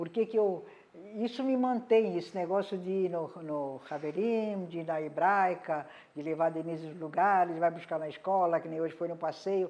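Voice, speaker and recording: Her pitch moves up and down in an ordinary way. The tone of this woman's voice is dark and mellow. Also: fairly low pitch for a woman, moderate pace. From Brazil, Santos (São Paulo coast). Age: 80s+. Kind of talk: interview testimony. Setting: at home. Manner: halting.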